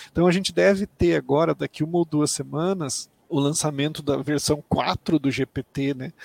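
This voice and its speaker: A man with a plain, everyday voice and a fairly high pitch speaks at a moderate pace with hardly any pauses and ordinary pitch variation. The sound is dry and close, with no echo. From Mato Grosso do Sul, Brazil. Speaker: tech company executive. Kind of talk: interview.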